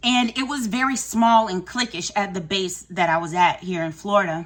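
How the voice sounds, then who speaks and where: The woman's pitch is medium, and noticeable noise can be heard in the background. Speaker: vlogger and wellness coach. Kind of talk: personal storytelling vlog. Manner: fast; casual, filler-heavy.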